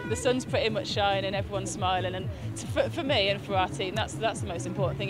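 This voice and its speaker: Over loud background music, a woman talks very fast in a dry recording with no echo. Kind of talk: interview answer. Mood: upbeat, happy. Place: stadium.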